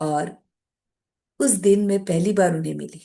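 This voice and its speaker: Her voice has a dark, mellow tone at a medium pitch. This woman keeps her intonation fairly even. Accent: Marathi. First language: Marathi (speaking Hindi). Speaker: meditation practitioner, guest speaker. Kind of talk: personal spiritual testimony talk.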